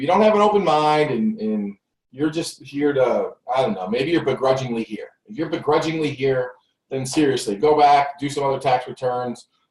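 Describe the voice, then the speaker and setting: Lively intonation in a somewhat breathy male voice. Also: fairly high pitch for a man. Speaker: tax business coach. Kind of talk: live webinar presentation. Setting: home recording studio, live broadcast. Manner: fast; animated.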